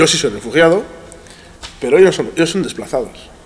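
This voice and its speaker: Noticeable background noise and audible room echo surround a man speaking at a fairly quick pace with lively intonation. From Iran, raised in Spain from age 5. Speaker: teacher and NGO educator. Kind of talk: casual interview. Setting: school assembly hall. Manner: halting.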